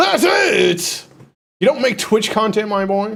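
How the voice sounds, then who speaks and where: The speaker is a man with a high pitch. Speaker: live streamer and content creator. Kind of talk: casual live stream chat. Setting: live stream. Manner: stutters and repeats words; fast, passionate.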